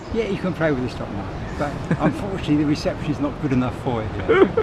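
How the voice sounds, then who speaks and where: Very fast delivery with lively intonation over noticeable background noise. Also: man. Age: 60s. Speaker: castaway adventurer. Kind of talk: interview answer. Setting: outdoors.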